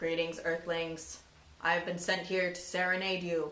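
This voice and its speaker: A put-on character voice at a middle pitch moves at a moderate pace with a slight echo. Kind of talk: formal, theatrical greeting.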